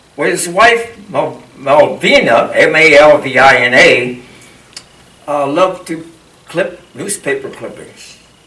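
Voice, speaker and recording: A man with a Pennsylvania accent, audible room echo and noticeable background noise. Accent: Pennsylvania American English. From Harrisburg, Pennsylvania. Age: 80s+. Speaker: local historian. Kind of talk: lecture.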